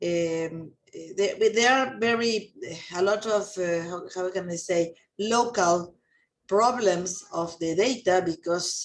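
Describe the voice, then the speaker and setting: A woman speaks at a very slow pace with a Spanish accent. Her pitch sits in the medium range and moves with ordinary variation. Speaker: chemist. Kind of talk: Q&A discussion. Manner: halting.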